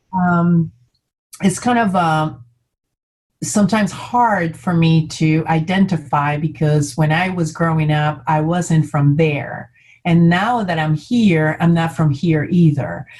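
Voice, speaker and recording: A woman speaks at a very slow pace with a fairly low, somewhat breathy voice. Her loudness stays very even, and her pitch varies in an ordinary way. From Colombia, Bogota. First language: Spanish. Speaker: community leader. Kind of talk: panel discussion. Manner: halting, many fillers.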